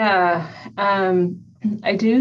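A woman with an American accent. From Ohio, US. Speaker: healthcare IT executive. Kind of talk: interview.

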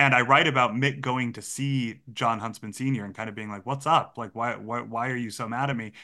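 A man with an American accent, fairly quick pace, and bright, sharp tone on a very clean recording with a silent background. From Massachusetts, US. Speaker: journalist and author. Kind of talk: interview.

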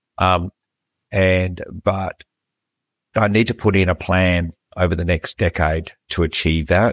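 Very deep and low, this man's voice stays monotone and flat. The recording is very clean with a silent background, and the sound is dry and close with no echo. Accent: Australian. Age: 50s. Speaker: podcast host. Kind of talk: interview conversation.

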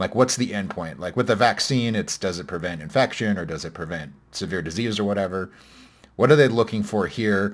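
A man with a plain, everyday voice speaks at a fairly quick pace, his pitch fairly low with ordinary variation. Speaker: podcast host. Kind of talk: casual conversational podcast discussion of science news. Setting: remote recording.

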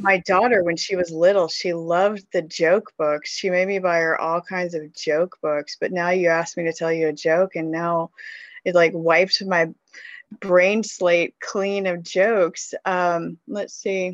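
Someone speaks with an American accent at a fairly slow pace in a flat monotone, the sound dry and close with no echo. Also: woman, fairly low pitch for a woman. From US South (Mississippi River region). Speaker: children's author. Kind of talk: interview.

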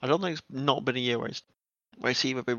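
This man has an ordinary speaking voice, with medium pitch and ordinary pitch variation. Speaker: racing engineer. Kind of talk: casual chat.

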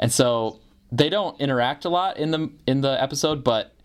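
In a very clean recording with a silent background, a man with an American accent speaks at a moderate pace. He has a normal speaking voice with ordinary pitch variation. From northern Michigan, US. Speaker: podcast host and writer. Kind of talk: casual chat.

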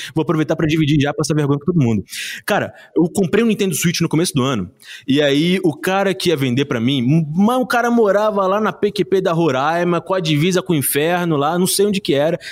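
A man with a Rio de Janeiro accent, high pitch, ordinary pitch variation, very even loudness and a fairly quick pace, on a very clean recording with a silent background. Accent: carioca. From Rio de Janeiro (Pavuna). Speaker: teacher and board-game creator. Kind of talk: casual interview.

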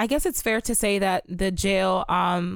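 Medium-pitched and moderate in pace, a woman speaks in a plain, everyday voice. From Maryland. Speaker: pre-health college student. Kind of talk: casual chat.

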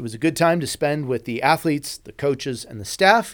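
On a very clean recording with a silent background, a man's speech moves at a fairly quick pace. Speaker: chaplain and podcast host. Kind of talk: sermon-like devotional reflection.

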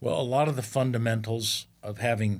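In a very clean recording with a silent background, a man with an American accent speaks at a medium pitch, somewhat breathy and with fairly even intonation. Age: 70s. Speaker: retired airline captain and Navy fighter pilot. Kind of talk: interview. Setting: studio.

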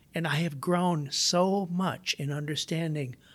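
Somewhat breathy, this voice has an American accent. The pace is very slow. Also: man. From Iowa. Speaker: entrepreneur and inventor. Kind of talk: interview.

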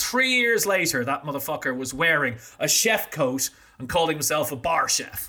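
Over noticeable background noise, a voice with an Irish accent moves through very wide pitch swings. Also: man. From Ireland, small town. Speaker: drinks industry consultant and brand owner. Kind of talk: casual interview.

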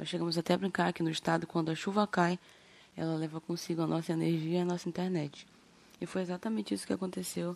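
Her fairly low voice races along at a very fast pace. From Brazil, Amapá (Macapá). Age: 20s. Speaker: podcast host giving local testimony. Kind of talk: testimony. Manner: halting.

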